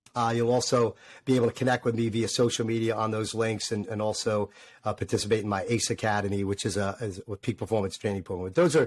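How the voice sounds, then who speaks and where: A man talks with a New York accent. His pitch is fairly low and his intonation fairly even. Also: dry, close sound with no echo. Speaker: former fighter pilot turned motivational speaker. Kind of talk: interview. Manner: filler-heavy with repetitions.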